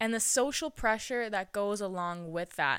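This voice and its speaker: The recording is very clean, with a silent background. A woman speaks in a fairly high pitch with a bright, sharp tone. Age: 20s. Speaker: podcast host. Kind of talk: casual solo podcast monologue. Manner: animated.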